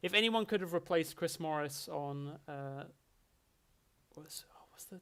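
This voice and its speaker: A man speaks with an Essex accent. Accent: mild Essex. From England, Essex. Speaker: streamer. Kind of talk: casual chat. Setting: livestream.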